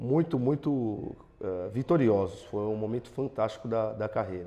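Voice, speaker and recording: There is a dark, mellow tone to this man's voice, which has ordinary pitch variation. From Brazil, Santo André (ABC Paulista, São Paulo); São Paulo state, Brazil. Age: 40s. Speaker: football fitness coach. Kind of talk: interview. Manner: hesitant with fillers. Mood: calm, positive. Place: studio. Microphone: lapel.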